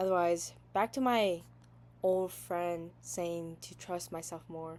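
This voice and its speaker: A woman with a Southeast Asian accent and a medium pitch. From US Midwest, Wisconsin, Hmong family. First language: Hmong. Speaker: podcaster. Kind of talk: personal monologue. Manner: halting.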